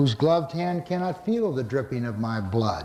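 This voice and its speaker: A man speaks in an ordinary speaking voice. His pace is moderate and his pitch varies in an ordinary way. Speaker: poet. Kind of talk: poetry reading. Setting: live audience, church hall.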